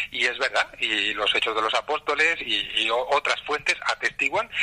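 Noticeable background noise behind a man talking fairly slowly. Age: 50s. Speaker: journalist, editorial director. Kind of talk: interview.

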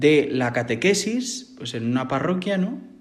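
There is audible room echo around a man speaking with lively intonation. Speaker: seminarian about to be ordained deacon. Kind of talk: interview.

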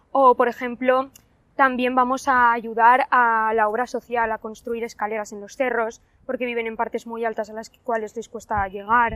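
A woman's normal speaking voice, fairly high in pitch, at a moderate pace on a very clean recording with a silent background. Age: young. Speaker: university student volunteer. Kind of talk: testimony.

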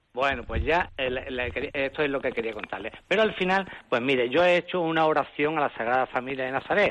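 Over noticeable background noise, a man talks at a fairly quick pace with hardly any pauses, his fairly high pitch showing ordinary variation. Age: 70s. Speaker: caller. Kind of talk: testimony.

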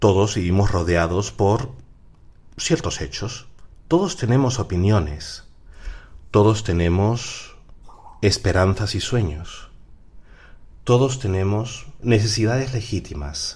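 In a room with audible echo, a man speaks very slowly at a fairly low pitch, somewhat breathy, with lively intonation and long, frequent pauses. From Peru. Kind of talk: radio talk on faith and psychology. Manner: halting.

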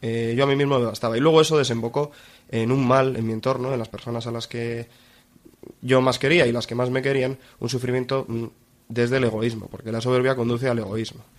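A man speaks at a fairly quick pace in a medium pitch. His intonation is flat and monotone. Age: 20s. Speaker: university student giving faith testimony. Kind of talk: testimony. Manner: halting, with many repetitions.

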